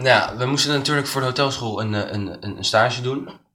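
Audible room echo surrounds a man as he speaks. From Netherlands, Leiden. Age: 20s. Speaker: hospitality student and cook. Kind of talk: interview. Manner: hesitant, many fillers.

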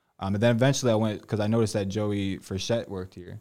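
A man with an American accent talks at a very fast pace, his fairly low voice dark and mellow in tone. His intonation is monotone and flat, and the recording is very clean with a silent background. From Connecticut, US. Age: 20s. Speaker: salesperson. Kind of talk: interview.

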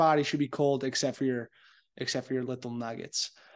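A man speaks against a quiet background. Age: 20s. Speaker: podcast host. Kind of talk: casual monologue. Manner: casual, filler-heavy.

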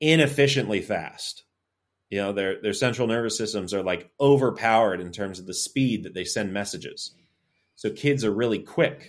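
An unremarkable speaking voice from a man with an American accent, medium in pitch with ordinary variation, at a moderate pace, on a very clean recording with a silent background. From North Florida, Tallahassee. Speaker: strength coach. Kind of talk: podcast interview.

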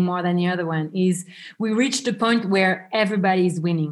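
A French accent at a moderate pace with ordinary pitch variation, on a very clean recording with a silent background. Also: woman. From France. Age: 30s. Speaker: travel and wedding planner. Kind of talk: interview.

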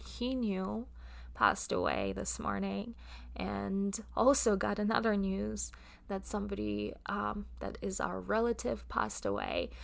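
The speaker has a Russian accent and talks at a very slow pace. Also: woman. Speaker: podcast host and coach. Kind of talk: solo podcast monologue. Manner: hesitant, many filler words.

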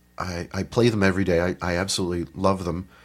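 A man speaks in an American accent at a fairly low pitch. The recording is very clean, with a silent background. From northern Pennsylvania. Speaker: piper and music teacher. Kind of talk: casual interview.

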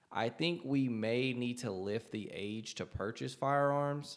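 Ordinary pitch variation and a fairly slow pace in a normal speaking voice. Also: man. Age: 30s. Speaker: podcast co-host. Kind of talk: casual chat. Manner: casual, profane.

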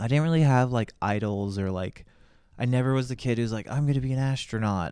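Speaking at a fairly quick pace with a Californian accent, a man with a medium pitch and a dark, mellow tone uses ordinary pitch variation in a very clean recording with a silent background. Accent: Californian American. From Los Angeles, Hollywood. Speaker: podcast co-host, father. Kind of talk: casual chat.

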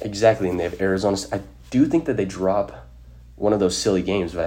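Talking at a very fast pace, a man with an American accent uses lively intonation, a dark, mellow tone and vocal fry at a very deep, low pitch. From Utah. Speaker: sports podcast host. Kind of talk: casual chat.

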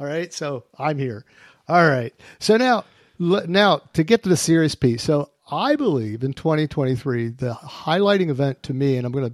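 In a dry, close sound with no echo and a very clean recording over a silent background, a man with fairly high pitch uses an ordinary speaking voice, ordinary pitch variation and a moderate pace. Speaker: podcast host, deterrence analyst. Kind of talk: casual expert discussion.

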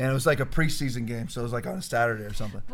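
A man talking at a very fast pace with ordinary pitch variation. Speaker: pastor. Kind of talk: casual chat. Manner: loud.

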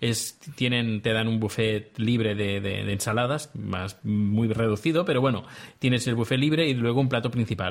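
At a moderate pace, a man talks with a medium pitch and ordinary pitch variation over noticeable background noise. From Spain. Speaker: podcaster. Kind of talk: casual chat. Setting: video call.

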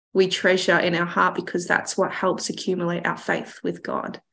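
Vocal fry runs through a woman's bright, sharp tone at a medium pitch. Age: 20s. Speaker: podcast host. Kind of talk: casual chat.

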